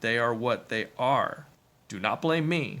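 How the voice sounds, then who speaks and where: Using a put-on character voice, a man talks at a fairly slow pace and medium pitch. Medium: read story. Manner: calm, solemn.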